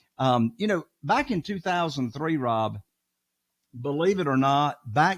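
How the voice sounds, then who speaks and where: A man with a Southern US accent at a fairly slow pace, his pitch swinging very widely, in a dry, close sound with no echo on a very clean recording with a silent background. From Eastern North Carolina. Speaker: real estate investor. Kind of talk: podcast interview.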